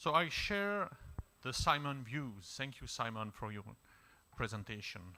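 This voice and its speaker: A man with a French accent speaks at a fairly slow pace, leaving long, frequent pauses. His pitch is medium but swings very widely, and his tone is bright and sharp. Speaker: diplomat. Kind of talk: panel discussion remarks.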